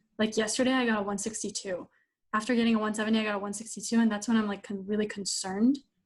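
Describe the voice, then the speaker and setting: Against a quiet background, a woman speaks with a fairly high pitch. Her voice is somewhat breathy and her intonation monotone and flat. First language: not English. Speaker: LSAT student. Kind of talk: coaching session. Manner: halting, many fillers.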